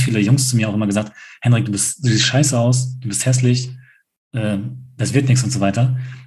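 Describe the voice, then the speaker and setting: A very fast-talking man with a dark, mellow, somewhat breathy tone and flat, monotone intonation. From rural Germany. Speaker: podcast co-host. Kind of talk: casual chat.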